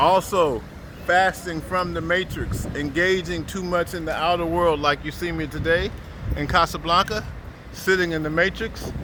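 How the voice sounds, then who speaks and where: A man with a high pitch and fairly even intonation at a moderate pace, over noticeable background noise. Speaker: Sufi spiritual teacher. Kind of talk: religious teaching talk.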